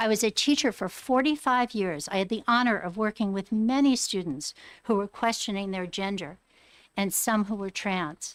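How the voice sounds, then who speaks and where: A normal speaking voice, ordinary in its pitch variation, proceeds at a moderate pace on a very clean recording with a silent background. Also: woman, medium pitch for a woman. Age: 60s. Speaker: retired teacher, hearing witness. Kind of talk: legislative testimony. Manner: earnest, pleading.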